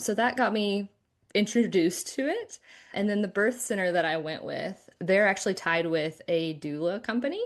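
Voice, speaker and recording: A woman with an American accent speaks at a medium pitch with ordinary pitch variation, in an unremarkable speaking voice. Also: moderate pace, quiet background. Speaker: podcast guest sharing birth story. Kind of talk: casual interview chat.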